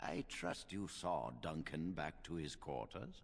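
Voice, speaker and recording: Using a put-on character voice, a man speaks very deep and low at a fairly slow pace with lively intonation. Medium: short film. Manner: measured, authoritative.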